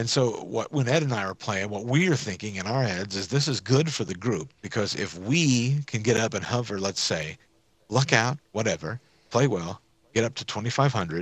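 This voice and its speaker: Lively intonation runs through a normal speaking voice. The pace is moderate. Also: man, medium pitch for a man. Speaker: gamer. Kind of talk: casual gaming chat with friends.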